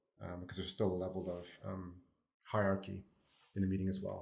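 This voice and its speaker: Very deep and low in pitch, a man speaks very fast in a somewhat breathy voice with monotone, flat intonation. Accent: American. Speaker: consultant. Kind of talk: podcast panel discussion.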